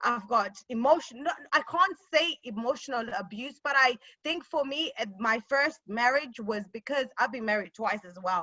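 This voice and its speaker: A Zimbabwean accent with big swings in loudness, lively intonation and a moderate pace. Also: woman, high pitch for a woman. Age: 30s. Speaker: panelist and lawyer. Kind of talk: personal testimony in panel discussion. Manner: halting, with many fillers.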